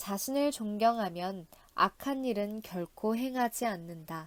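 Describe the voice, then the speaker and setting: A woman speaks in a calm tone at a fairly high pitch. Her pace is very slow, and the recording is very clean with a silent background. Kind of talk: audiobook reading. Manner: calm, soft-spoken.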